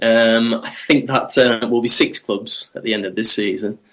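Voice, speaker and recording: Bright and sharp in tone, a man with a Manchester accent talks at a moderate pace with ordinary pitch variation. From Manchester, northern England. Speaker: football journalist. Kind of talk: podcast interview. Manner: hesitant, many fillers.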